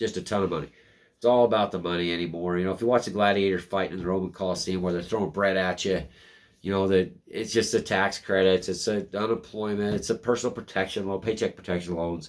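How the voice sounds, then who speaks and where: A man speaks at a very deep, low pitch and a very fast pace, with fairly even intonation. The recording is very clean, with a silent background. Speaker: news commentary vlogger. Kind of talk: casual news commentary. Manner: sarcastic.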